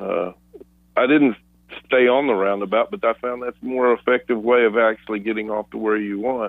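With an unremarkable speaking voice and fairly even intonation, a man talks over a quiet background in a dry sound with no echo. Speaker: radio show co-host. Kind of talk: reflective talk-show commentary. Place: studio.

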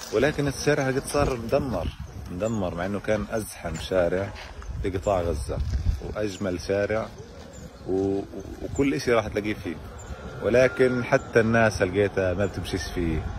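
With noticeable background noise yet a dry sound with no echo, a man of fairly low pitch talks fairly slowly, pausing long and often. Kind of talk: walking selfie commentary. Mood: wistful, sad. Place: street. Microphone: phone near.

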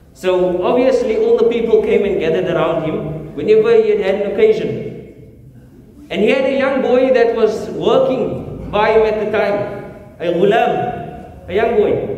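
A man with a high pitch and ordinary pitch variation at a fairly slow pace, amid audible room echo and light background noise. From South Africa. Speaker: imam. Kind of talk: sermon. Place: church.

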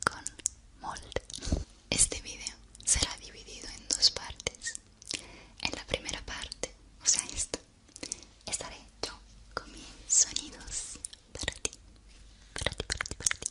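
A woman whispers at a fairly slow pace, with long, frequent pauses between phrases. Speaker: ASMR creator. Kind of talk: soft-spoken ASMR intro chat. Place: home room. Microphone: studio mic.

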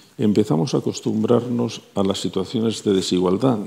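This man's voice has a dark, mellow tone and sits at a medium pitch. He keeps a moderate pace. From Spain. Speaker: panelist, energy expert; guest. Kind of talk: panel discussion. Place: studio. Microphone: lapel.

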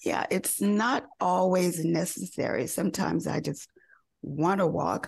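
This voice, with an American accent and vocal fry, moves at a very slow pace. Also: woman. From US South, North Carolina. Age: 70s. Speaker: fashion model. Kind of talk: interview.

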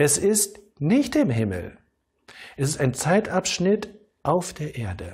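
Very slowly, a man speaks with very wide swings in pitch. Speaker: pastor. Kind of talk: sermon. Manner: calm, didactic, measured; rhetorical questions, earnest teaching tone. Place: studio. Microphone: lapel.

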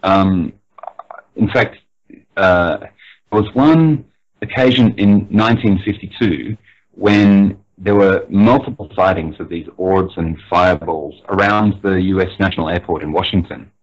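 A man talks at a fairly slow pace with a fairly low pitch. His is an ordinary speaking voice, with ordinary pitch variation. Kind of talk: interview answer, explaining UFO history.

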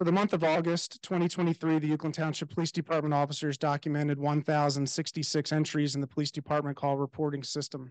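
With hardly any pauses, the fairly quick delivery stays monotone with flat intonation against a quiet background. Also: man. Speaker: police chief giving report. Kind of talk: formal report reading. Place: hall.

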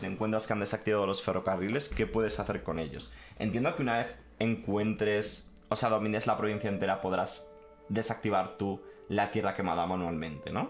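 A man speaks at a moderate pace with a fairly low pitch and ordinary pitch variation, with light background noise behind him. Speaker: gaming streamer. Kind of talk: live stream commentary, reading and translating a text.

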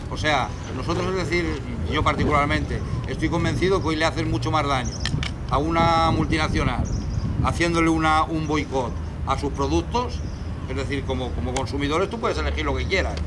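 Over noticeable background noise, a man's speech moves at a fairly quick pace. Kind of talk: informal talk to a group. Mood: animated, indignant. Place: street.

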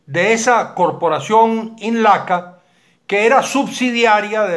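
A man speaks at a very slow pace with ordinary pitch variation against a quiet background. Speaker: political commentator. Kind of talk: commentary. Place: home room. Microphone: webcam.

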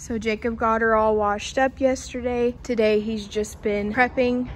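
A woman talks at a fairly slow pace against light background noise. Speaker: vlogger. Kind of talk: casual vlog chat. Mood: playful, joking. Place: garage. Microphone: phone near.

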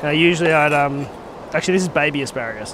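At medium pitch and a moderate pace, a man talks with ordinary pitch variation over clear background noise.

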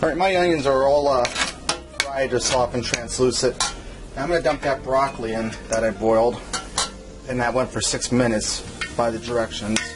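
There is noticeable background noise as a man talks at a fairly quick pace. His pitch variation is ordinary. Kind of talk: cooking tutorial. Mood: relaxed, casual. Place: kitchen. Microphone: camera far.

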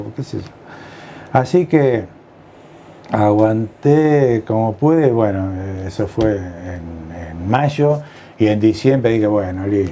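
A man talks with very wide pitch swings. Light background noise can be heard. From Argentina, La Plata (Buenos Aires province); Buenos Aires province, Argentina. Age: 60s. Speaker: retired general practitioner. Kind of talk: life-story interview. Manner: halting, many fillers and repetitions. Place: home room. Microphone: lapel.

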